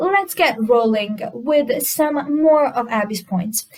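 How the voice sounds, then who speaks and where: With a non-native accent, a woman talks at a very slow pace in a high pitch that has very wide swings. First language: not English. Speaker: commentary YouTuber. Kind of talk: reaction video commentary.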